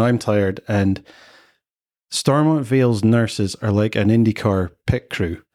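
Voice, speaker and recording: Fairly low in pitch, a man with a Scottish accent comes through on a very clean recording with a silent background. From Scotland. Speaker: father sharing his experience. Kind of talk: podcast interview. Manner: animated.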